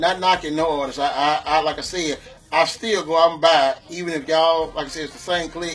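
Man at high pitch and moderate pace over faint music in the background. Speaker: guest. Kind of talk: interview answer. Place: studio.

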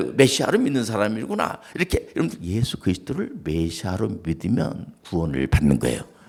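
Vocal fry marks this man's voice as he talks at a fairly quick pace. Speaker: pastor. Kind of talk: sermon. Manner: conversational.

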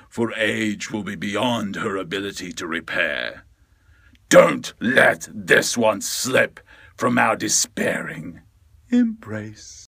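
Using a raspy put-on character voice, a man speaks at a fairly low pitch and a very slow pace. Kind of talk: theatrical character voiceover.

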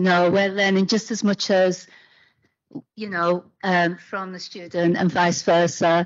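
Against a quiet background, a woman speaks in a British accent at a fairly slow pace. Her intonation is monotone and flat. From UK. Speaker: academic panel chair. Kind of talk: panel discussion. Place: hall.

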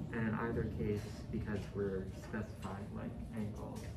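Over loud background noise, a man speaks at a fairly slow pace with ordinary pitch variation. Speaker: presenter. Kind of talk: project presentation. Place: meeting room.

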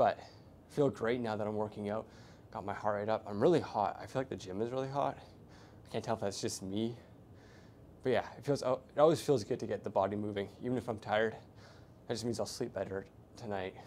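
A man talks at a fairly quick pace with ordinary pitch variation. Light noise sits in the background. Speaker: fitness vlogger. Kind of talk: casual vlog chat. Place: gym. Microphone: lapel.

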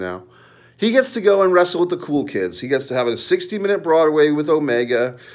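Quiet background behind a man's speech. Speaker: wrestling commentary YouTuber. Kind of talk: angry profanity-laced wrestling rant. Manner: scornful, sneering and profane, mocking the wrestler with crude jabs; heated and repetitive, with rhetorical questions and filler hesitations. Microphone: phone near.

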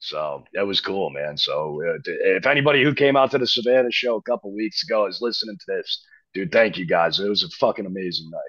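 A man with an American accent talks at a fairly quick pace with hardly any pauses against a quiet background. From New Jersey, US. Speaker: rock band frontman; guest. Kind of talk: casual interview. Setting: remote call. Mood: relaxed, enthusiastic. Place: studio. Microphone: video call.

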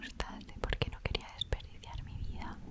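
Soft-spoken and whispering, the voice moves at a moderate pace. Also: woman. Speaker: ASMR creator. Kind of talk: soft-spoken ASMR life-story chat. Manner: soft close-mic whisper. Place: home room. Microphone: studio mic.

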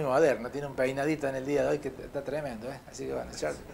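A man at a very fast pace amid light background noise. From Córdoba, Argentina. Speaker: local TV sports show host; TV sports show host. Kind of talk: live sponsor announcements; casual chat on live TV. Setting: TV studio. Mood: jovial, teasing. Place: studio. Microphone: lapel.

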